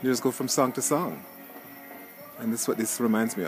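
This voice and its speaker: Clear music plays behind a man whose voice has ordinary pitch variation and a dry sound with no echo. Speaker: guest. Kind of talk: casual vlog chat. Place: open country. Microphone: phone near.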